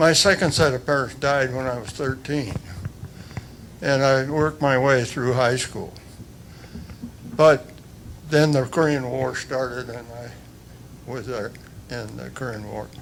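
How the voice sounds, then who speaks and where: With noticeable background noise and audible room echo, the speech moves at a fairly slow pace with fairly even intonation, big swings in loudness, and long, frequent pauses. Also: man, medium pitch for a man. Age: 90s. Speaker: Korean War veteran. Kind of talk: speech at council meeting. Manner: halting.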